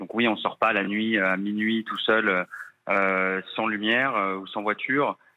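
A man speaks in a plain, everyday voice. His pitch is fairly low and his intonation fairly even. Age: 30s. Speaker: expatriate caller, project manager. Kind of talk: phone interview.

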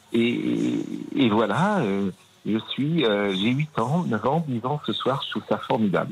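This is a man talking. His intonation is lively. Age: 50s. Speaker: Nantes fan, radio contributor. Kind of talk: emotional testimony.

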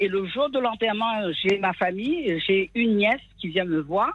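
Here is an unremarkable speaking voice delivered at a fairly slow pace. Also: woman. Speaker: caller. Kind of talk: casual chat. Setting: phone call.

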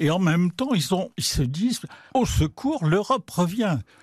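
Over a quiet background, a man speaks somewhat breathily at a fairly slow pace with very wide pitch swings, the sound dry and close with no echo. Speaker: art critic and writer. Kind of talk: radio interview. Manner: conversational, hesitant with fillers.

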